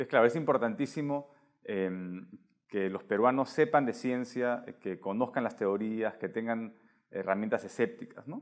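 Here is a man with an unremarkable speaking voice and ordinary pitch variation. The background is quiet. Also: medium pitch for a man, fairly slow pace. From Peru. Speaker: science podcast host. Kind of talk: interview. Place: home room. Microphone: lapel.

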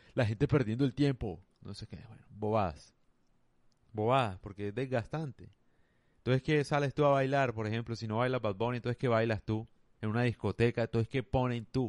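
Dry and close with no echo over a quiet background, a man's normal speaking voice at medium pitch moves at a fairly quick pace, with ordinary pitch variation and big swings in loudness. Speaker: podcaster. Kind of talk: monologue. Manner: casual.

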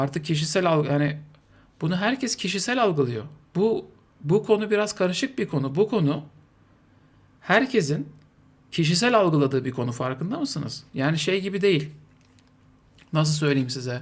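A man's fairly high voice with very wide pitch swings and long, frequent pauses. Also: moderate pace. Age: 40s. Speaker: streamer. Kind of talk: live stream commentary. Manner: animated.

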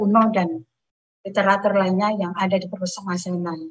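A somewhat breathy female voice over a quiet background. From Indonesia. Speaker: senior librarian; presenter. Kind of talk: webinar presentation. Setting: video call. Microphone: video call.

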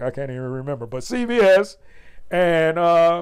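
A man at a fairly slow pace with very wide pitch swings, against a quiet background. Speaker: show host. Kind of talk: casual commentary. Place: home room.

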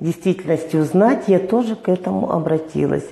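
A woman talks at a moderate pace with audible echo from the room. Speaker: interview guest. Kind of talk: interview answer. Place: studio. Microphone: lapel.

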